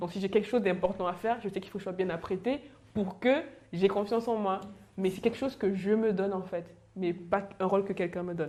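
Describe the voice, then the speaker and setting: Very fast talk from a woman with fairly even intonation, amid noticeable background noise. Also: medium pitch for a woman. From Cameroon. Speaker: panelist sharing work experience. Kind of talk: panel discussion.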